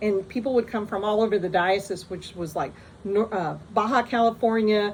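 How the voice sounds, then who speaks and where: Fairly even in intonation, a woman uses an ordinary speaking voice at a fairly high pitch. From US, moved around. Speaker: storyteller vlogger. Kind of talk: personal anecdote. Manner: casual, many fillers and restarts.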